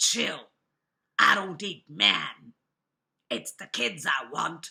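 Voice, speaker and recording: Slipping into a put-on character voice, a woman speaks raspy and fairly low in pitch at a very slow pace. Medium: read story. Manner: sly, wheedling.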